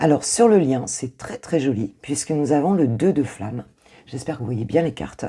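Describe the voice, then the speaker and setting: A woman with a very deep, low pitch and a dark, mellow tone talks at a moderate pace, her pitch swinging very widely. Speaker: intuitive coach, tarot reader. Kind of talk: tarot reading. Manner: hesitant, many fillers; warm, casual.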